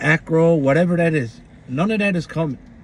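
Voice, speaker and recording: A somewhat breathy man at a fairly quick pace, with lively intonation. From Newfoundland, Canada. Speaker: YouTube commentator. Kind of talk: opinion rant vlog. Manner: animated.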